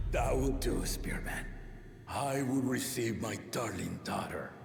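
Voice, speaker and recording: A man puts on a character voice at a medium pitch and a fairly slow pace. Clear background noise and a slight echo are present. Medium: game stream. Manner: proud, booming, formal.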